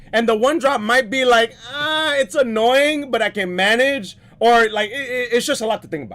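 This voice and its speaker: With an animated tone and an extremely high pitch, a man talks at a moderate pace with ordinary pitch variation and hardly any pauses over noticeable background noise. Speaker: card game commentator. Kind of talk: live commentary.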